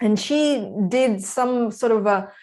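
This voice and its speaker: A woman speaks with a Russian accent and ordinary pitch variation. The recording is very clean, with a silent background. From Kazakhstan. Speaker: breathwork practitioner, former development worker. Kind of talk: casual interview. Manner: hesitant, many fillers.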